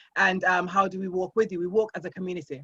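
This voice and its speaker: A woman speaks very fast at medium pitch with fairly even intonation and a somewhat breathy sound. The recording is dry and close with no echo. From Jamaica. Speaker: life coach and business founder. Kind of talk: podcast interview.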